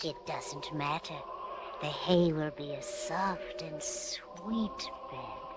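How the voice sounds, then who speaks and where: A female-sounding voice puts on a character voice with a fairly low pitch. It speaks at a very slow pace over loud background noise. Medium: audio drama. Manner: calm.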